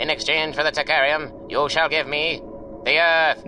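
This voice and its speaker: A man's put-on character voice at a fairly high pitch and moderate pace, with clear background noise. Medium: audio drama. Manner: stately, formal.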